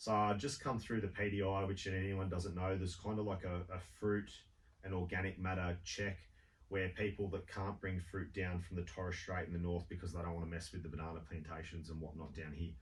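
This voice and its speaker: Over audible room echo, a man with an Australian accent speaks at a fairly quick pace, his very deep, low voice somewhat breathy and his intonation fairly even. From Sydney, Australia. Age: 40s. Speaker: walker on a charity trek. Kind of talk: radio interview. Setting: radio studio.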